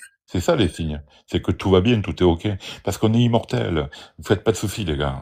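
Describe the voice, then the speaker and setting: The voice has a dark, mellow tone with vocal fry and lively intonation, moving at a moderate pace. Its loudness swings a lot, in a very clean recording with a silent background. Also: man, very deep, low pitch for a man. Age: 60s. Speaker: out-of-body experience speaker. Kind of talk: live stream discussion. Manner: animated.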